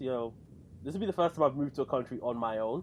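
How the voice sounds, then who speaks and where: A man with an English accent. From London, England. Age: 20s. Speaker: podcast co-host and lay church teacher. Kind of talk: casual chat.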